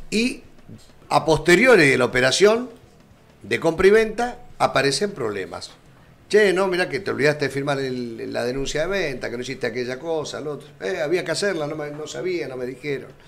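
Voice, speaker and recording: A man speaks at a fairly high pitch and a fairly quick pace, with very wide pitch swings and big swings in loudness. Faint music plays in the background. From Argentina. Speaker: radio and streaming magazine host; radio, streaming magazine host. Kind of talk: live magazine interview. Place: studio. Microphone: studio mic.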